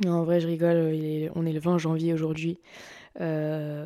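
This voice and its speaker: Her intonation is monotone and flat, at a fairly low pitch for a woman. The tone is dark and mellow. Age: 20s. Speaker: podcast host. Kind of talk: casual monologue. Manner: halting.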